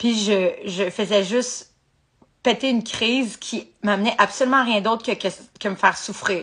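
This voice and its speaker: With a Quebec accent, a woman speaks at a fairly high pitch. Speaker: podcaster in addiction recovery. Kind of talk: live motivational talk. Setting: livestream. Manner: casual with English swearing mixed in.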